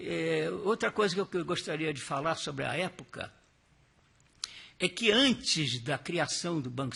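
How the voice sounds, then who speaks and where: With a bright, sharp tone and some vocal fry, a man speaks at a fairly high pitch, using lively intonation at a moderate pace. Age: 80s+. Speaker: retired central bank employee. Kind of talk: testimony. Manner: halting.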